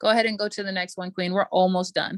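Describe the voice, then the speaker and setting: A woman speaks at a very fast pace in a dry, close sound with no echo. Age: 20s. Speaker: business coach. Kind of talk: motivational talk; webinar sales pitch. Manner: animated.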